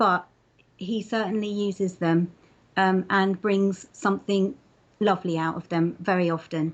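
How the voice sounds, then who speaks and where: A woman at a medium pitch with a slight London accent, moderate in pace and fairly even in intonation, with long, frequent pauses. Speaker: interviewee sharing faith story. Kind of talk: testimony interview. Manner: hesitant, many fillers.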